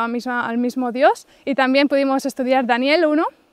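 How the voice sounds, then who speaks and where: A woman's high voice at a moderate pace with fairly even intonation, dry with no echo, over a quiet background. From Spain, Barcelona; Catalonia, Spain. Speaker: student ministry missionary. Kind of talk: personal update testimony. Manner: hesitant, many fillers. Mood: warm, smiling. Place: forest.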